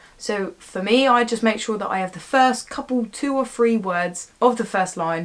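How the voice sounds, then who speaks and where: Her fairly high-pitched voice moves at a moderate pace with ordinary pitch variation, the speaker a woman. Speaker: actor giving audition tips. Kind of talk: casual vlog tutorial. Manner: mumbling words at times.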